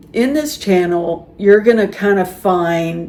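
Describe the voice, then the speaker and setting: At a very slow pace, a woman with an American accent speaks at a medium pitch with ordinary pitch variation over noticeable background noise. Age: 60s. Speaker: YouTuber talking about life and aging. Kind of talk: casual monologue to camera. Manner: conversational, with some repetition and false starts.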